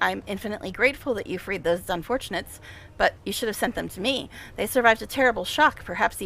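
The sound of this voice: The recording presents an unforced reading voice.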